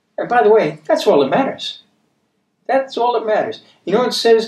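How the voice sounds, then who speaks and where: A high-pitched male voice with audible room echo. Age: 70s. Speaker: bible teacher. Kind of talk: bible study teaching. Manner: conversational, repeats himself. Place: studio.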